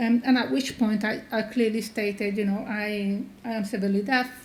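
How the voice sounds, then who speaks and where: A woman's fairly high, monotone voice with flat intonation and a non-native accent, moderate in pace, with audible room echo. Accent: sounds foreign. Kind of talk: conference talk. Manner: hesitant, many fillers.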